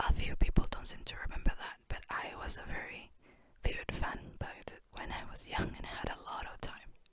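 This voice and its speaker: Whispering at a moderate pace, the speaker keeps going. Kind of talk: ASMR book flip-through, casual talk. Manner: whispered; relaxed, casual.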